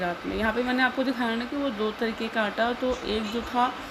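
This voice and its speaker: Noticeable background noise and audible room echo fill the recording. A woman speaks at a moderate pace. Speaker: family vlogger. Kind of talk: voice-over narration of vlog. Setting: home, recorded at night. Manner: casual, conversational.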